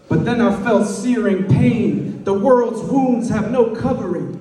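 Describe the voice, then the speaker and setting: Over noticeable background noise, a man speaks with a high pitch and ordinary pitch variation. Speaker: poet. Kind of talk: slam poetry performance. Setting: live event, birthday party venue.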